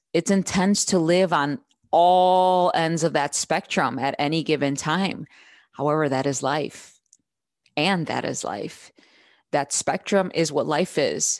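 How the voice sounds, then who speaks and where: A woman talks at a fairly slow pace with an American accent. Her pitch is very deep and low. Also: ordinary pitch variation. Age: 30s. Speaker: podcast host and mom coach. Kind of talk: solo podcast talk. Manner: casual, animated.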